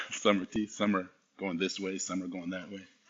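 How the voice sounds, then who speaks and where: The man speaks at a fairly low pitch. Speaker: coach and motivational speaker. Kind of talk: conference talk. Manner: fast; animated.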